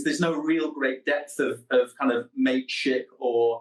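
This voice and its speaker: The speaker is a man. He talks in a Manchester accent. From northern England, Manchester. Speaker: psychotherapist and researcher. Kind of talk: radio interview.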